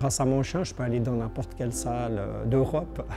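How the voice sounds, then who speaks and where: Moving at a moderate speed, a man talks while noticeable background noise continues. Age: 60s. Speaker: blind para-climber. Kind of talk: testimony. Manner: hesitant, many fillers and repetitions.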